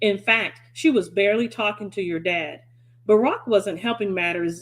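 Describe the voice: Plain reading aloud, the pitch moving in an ordinary way.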